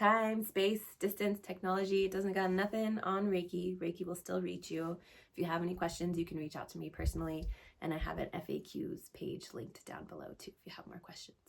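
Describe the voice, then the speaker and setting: Speaking at a fairly quick pace, a woman uses a normal speaking voice at a medium pitch. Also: fairly even intonation. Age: 30s. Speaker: astrologer and Reiki practitioner. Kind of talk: astrology talk and guided meditation intro. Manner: casual, conversational.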